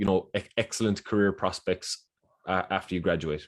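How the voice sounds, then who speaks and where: A man with an Irish accent speaks at a fairly quick pace on a very clean recording with a silent background. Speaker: university recruitment officer. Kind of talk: presentation. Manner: halting, many fillers and repeats.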